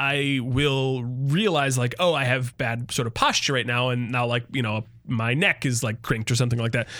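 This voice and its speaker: A man speaks with an American accent in a bright, sharp tone, at a moderate pace with hardly any pauses. The recording is very clean, with a silent background. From Michigan. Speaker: podcast co-host. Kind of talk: casual chat.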